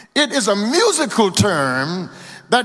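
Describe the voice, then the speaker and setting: A man speaks in a raised, projected voice with an American accent at a very slow pace. Noticeable background noise is heard. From Louisiana. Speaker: pastor. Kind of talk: sermon. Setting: church. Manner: rhythmic call-and-response preaching, rising in intensity.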